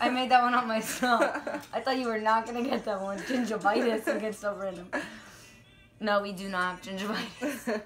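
Noticeable background noise sits behind a woman with a fairly high pitch. She talks at a fairly quick pace with ordinary pitch variation. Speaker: vlogger. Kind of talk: casual talk to camera. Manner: loud, shouting. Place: home room. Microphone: phone near.

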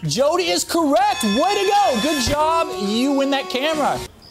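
A man talking at a moderate pace, with clear music in the background. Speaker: TV host. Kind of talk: live game show hosting with callers. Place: studio. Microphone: lapel.

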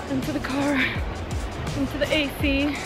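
Clear music plays in the background as a woman talks, her sound dry with no echo. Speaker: travel vlogger. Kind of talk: casual vlog chat. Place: forest. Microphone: phone near.

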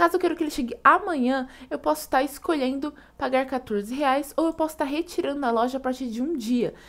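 A woman speaks with a Brazilian accent at a very fast pace. Her voice sits high in pitch. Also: ordinary pitch variation. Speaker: coupon and deals channel host. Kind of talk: online shopping tutorial and sales pitch, screen-share walkthrough. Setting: screen recording voiceover. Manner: upbeat, enthusiastic pitchman pushing deals, fluent and fast-paced; friendly, casual, step-by-step explanatory.

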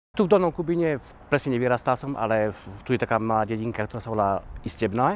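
The speech runs at a very fast pace with lively intonation, in a dry recording with no echo and light background noise. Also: man. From Slovakia, Orava region; Slovakia. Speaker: dancer and theatre organiser. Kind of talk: interview. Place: open country. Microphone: lapel.

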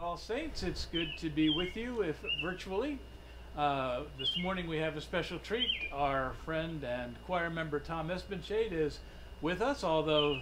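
Noticeable background noise behind a man speaking at a fairly slow tempo. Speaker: minister leading a service. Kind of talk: service welcome remarks. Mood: warm, lightly humorous. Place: garden. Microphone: camera far.

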